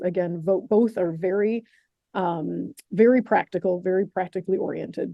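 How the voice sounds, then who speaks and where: A woman speaks at medium pitch with ordinary pitch variation. She has an American accent and a fairly quick pace. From upstate New York. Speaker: program director. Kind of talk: information session presentation. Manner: fast.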